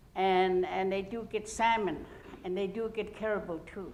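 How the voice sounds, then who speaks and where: A woman with an Alaska Native accent speaks at a medium pitch, with audible room echo. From Arctic Alaska, Gwich'in village. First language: Gwich'in. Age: old. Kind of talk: public talk. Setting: university lecture hall with audience. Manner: halting, many fillers.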